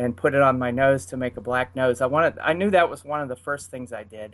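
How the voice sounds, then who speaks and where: The speaker is a man with a Pittsburgh accent. His pitch is medium, with ordinary variation. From Pittsburgh, US. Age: 50s. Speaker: furry. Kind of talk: casual chat. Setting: video call.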